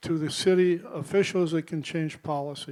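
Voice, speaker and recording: A man's high-pitched voice with an American accent, ordinary pitch variation and a moderate pace. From US Pacific Northwest, Portland, Oregon. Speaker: award honoree. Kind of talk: acceptance speech. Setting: event hall with live audience, live streamed. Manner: casual, hesitant with fillers.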